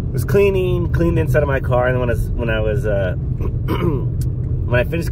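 A man is heard in a dry sound with no echo, though loud background noise runs underneath. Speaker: reptile-hunting vlogger. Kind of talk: casual vlog chat. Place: car. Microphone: phone near.

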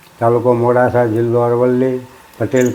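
A man's medium-pitched voice, flat and monotone in intonation, comes through noticeable background noise. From Gujarat, Aravalli district. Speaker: father of the teacher. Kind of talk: testimony.

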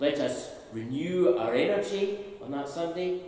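A man with a fairly high pitch and a dark, mellow tone speaks at a fairly slow pace with lively intonation, over strong room echo.

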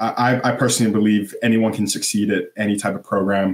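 A man with a Canadian accent speaks with monotone, flat intonation. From Canada. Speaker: elite swimmer. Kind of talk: casual interview. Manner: halting, many fillers. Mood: relaxed, friendly.

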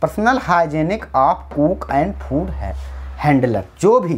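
A man with vocal fry talks at a fairly slow pace, his pitch swinging very widely. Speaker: teacher. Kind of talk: lecture. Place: classroom. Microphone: lapel.

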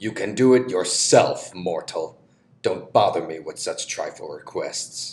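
A man uses a cartoonish character voice. He speaks at a fairly slow pace. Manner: haughty, commanding, angry.

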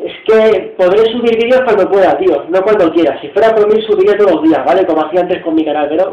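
A man talks at a very fast pace with hardly any pauses. His pitch varies in an ordinary way, and room echo is audible. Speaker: youtuber. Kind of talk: casual vlog chat. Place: home room. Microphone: webcam.

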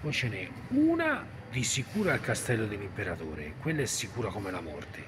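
A man talks fairly quickly with very wide pitch swings. Noticeable background noise runs underneath. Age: 40s. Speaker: vlogger. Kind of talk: casual vlog monologue; casual vlog chat. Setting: library. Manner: rambling, halting. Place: hall. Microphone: phone near.

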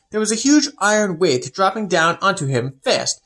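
Reading in an unforced voice

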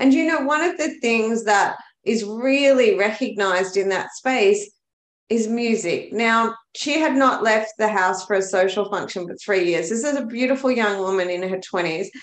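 With an Australian accent and lively intonation, a woman speaks in a fairly high pitch amid audible room echo. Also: moderate pace. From Australia, Melbourne. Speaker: bookkeeper, business coach and dancer; business coach. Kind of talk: casual interview chat. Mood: earnest, enthusiastic. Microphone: webcam.

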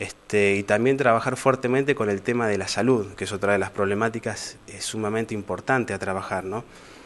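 A man with a Rioplatense accent talks at a fairly quick pace with hardly any pauses. His fairly low voice keeps a fairly even intonation. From Argentina, Moreno (Buenos Aires province); Buenos Aires province, Argentina. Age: 30s. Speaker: local political candidate; candidate. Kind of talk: interview. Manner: halting, many fillers. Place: studio. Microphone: handheld.

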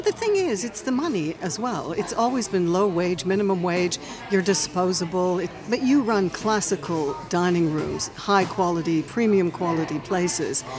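Faint music plays behind a woman who speaks at a moderate pace with hardly any pauses and ordinary pitch variation. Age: 60s. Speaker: podcast host. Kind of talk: interview. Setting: restaurant. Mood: earnest, concerned. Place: cafe. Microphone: studio mic.

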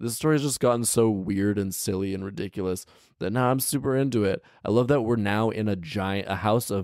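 Natural-voiced reading aloud with ordinary pitch variation.

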